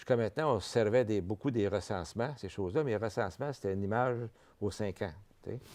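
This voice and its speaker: Over a quiet background, a man with a fairly low pitch talks at a very fast pace with ordinary pitch variation. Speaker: vice-president of a francophone health network. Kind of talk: TV interview. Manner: halting, with many repetitions.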